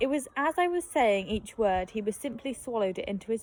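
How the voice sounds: Natural reading voice, nothing more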